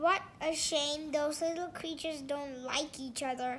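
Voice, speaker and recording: A woman puts on a character voice, high in pitch with fairly even intonation, at a moderate pace over clear background noise. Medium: read story.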